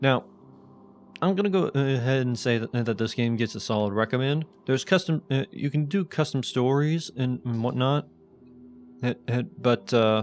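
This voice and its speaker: Music in the background behind a medium-pitched man at a moderate pace, with ordinary pitch variation. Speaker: gaming YouTuber. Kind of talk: let's play commentary. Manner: stuttering, halting; hesitant with fillers and pauses.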